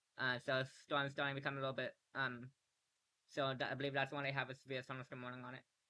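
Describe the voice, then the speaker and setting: A man talks at a very fast pace in a medium pitch. His intonation stays monotone and flat. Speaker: livestreamer doing game weather coverage. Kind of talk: live commentary. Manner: halting, many fillers; casual.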